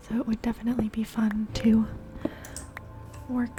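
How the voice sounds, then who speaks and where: Soft-spoken and calm with a gentle tone, a woman talks at a moderate pace in a fairly high pitch with monotone, flat intonation, over noticeable background noise. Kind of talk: ASMR gameplay commentary, ear to ear soft speaking. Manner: soft-spoken, calm, gentle.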